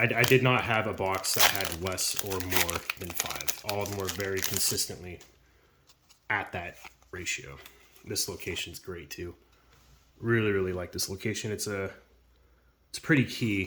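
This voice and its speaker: A man's fairly low voice with ordinary pitch variation, big swings in loudness, long, frequent pauses and noticeable background noise. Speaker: YouTuber opening trading card packs. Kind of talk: casual unboxing commentary. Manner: fast; casual with many fillers.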